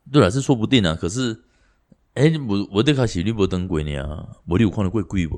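A man's fairly quick delivery with very wide pitch swings, over a quiet background. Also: fairly low pitch for a man. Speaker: podcast co-host. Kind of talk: casual chat.

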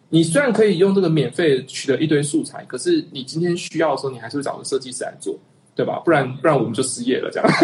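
A man's fairly high voice at a very fast pace, with ordinary pitch variation over noticeable background noise. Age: 30s. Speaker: animation director, online community founder. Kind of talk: casual chat.

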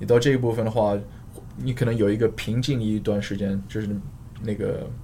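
In a room with audible echo, a man speaks at a moderate pace with a non-native accent. His pitch is fairly low and his intonation fairly even. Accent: foreign accent in Mandarin. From Australia, Queensland (Sunshine Coast). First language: English (speaking Chinese). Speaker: fitness coach and fitness blogger. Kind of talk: casual interview chat. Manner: halting, many fillers and code-switching to English.

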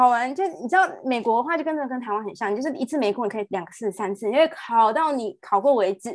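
A woman talks very fast in a high voice, with hardly any pauses. Her intonation is lively. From Taiwan. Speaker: nurse. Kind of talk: interview conversation.

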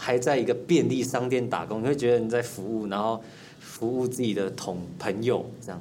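Music plays in the background as a man talks at a fairly quick pace, with audible room echo. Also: medium pitch for a man, ordinary pitch variation. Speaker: young comedy actor. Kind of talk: casual interview chat.

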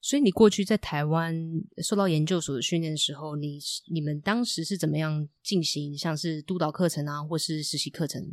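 On a very clean recording with a silent background, a woman with a very deep, low voice speaks at a moderate pace with ordinary pitch variation. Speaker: marriage and family therapist, podcast host. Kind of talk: casual chat.

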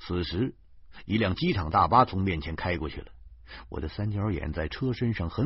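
Reading in an unforced voice

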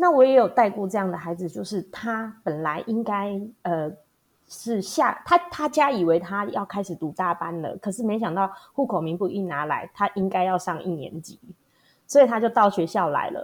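With an unremarkable speaking voice, a woman talks at a moderate pace and medium pitch, her intonation lively. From Taiwan, Hualien. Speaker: primary school teacher. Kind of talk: interview.

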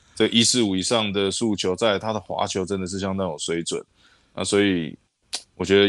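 Speaking at a moderate pace, a man with a fairly low voice keeps his intonation fairly even. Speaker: baseball scout and podcast co-host. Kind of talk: casual chat. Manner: halting, many fillers.

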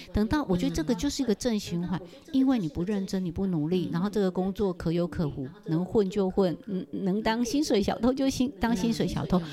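A woman talks at a fairly quick pace in an animated tone with lively intonation and a medium pitch. Noticeable background noise runs underneath. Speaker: personal finance author and retired university teacher. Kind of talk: casual interview chat. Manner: projected, stage-like delivery.

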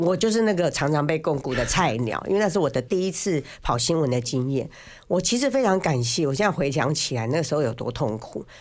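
The recording is very clean, with a silent background. The pace is fairly quick. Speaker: biographer and former financial journalist. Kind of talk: casual chat. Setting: studio. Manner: talkative, loud.

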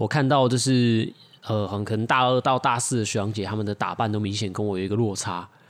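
A man speaks in a normal speaking voice at medium pitch. His pace is fairly quick, his intonation fairly even. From Taiwan (Taichung or Tainan). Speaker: podcast co-host. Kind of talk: casual chat.

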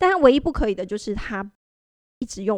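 A woman speaks at a fairly high pitch with lively intonation. The sound is dry and close, with no echo. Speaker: website staff editor, co-host. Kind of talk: casual chat. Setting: company studio.

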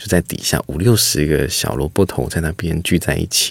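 The man's pitch is very deep and low, with ordinary variation. He speaks at a moderate pace. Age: 30s. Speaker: foundation chairman. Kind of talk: interview. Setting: studio.

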